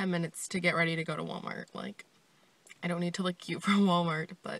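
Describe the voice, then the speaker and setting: A woman's fairly low voice at a very fast pace, flat and monotone, in a dry room with no echo. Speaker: vlogger. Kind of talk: casual vlog chat. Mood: mildly annoyed, chatty. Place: car. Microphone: phone near.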